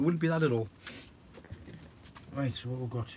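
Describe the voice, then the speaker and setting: In a Geordie accent, a man talks with ordinary pitch variation. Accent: Geordie, toned down from thick. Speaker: allotment gardener vlogger. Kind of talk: casual live-stream chat with viewers. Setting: indoors at home.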